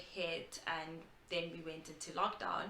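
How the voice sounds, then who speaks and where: Noticeable background noise sits behind a woman talking fairly slowly. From South Africa. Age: 20s. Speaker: graduate student. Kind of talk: casual talk to camera. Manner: open, vulnerable.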